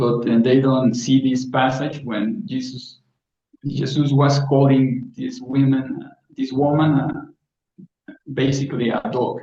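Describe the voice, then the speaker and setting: Speaking very slowly, a man keeps his intonation fairly even. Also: medium pitch for a man. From South Africa. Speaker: guest. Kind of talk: casual chat. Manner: halting.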